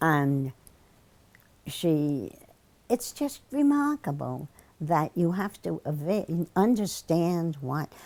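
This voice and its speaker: A woman with a very deep, low pitch, a dark, mellow tone and lively intonation, at a very slow pace. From New Jersey, Jersey City. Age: 80s+. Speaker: retired ESL teacher and activist. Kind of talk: oral history interview. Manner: halting.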